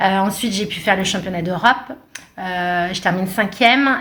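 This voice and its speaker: Over noticeable background noise, a woman of medium pitch speaks at a moderate pace with ordinary pitch variation. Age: 40s. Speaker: runner and sports coach. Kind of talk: podcast interview. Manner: hesitant, many fillers.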